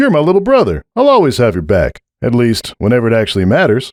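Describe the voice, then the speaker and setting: A man speaks very fast at a medium pitch. He uses a put-on character voice. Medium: read story. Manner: blunt, gruff.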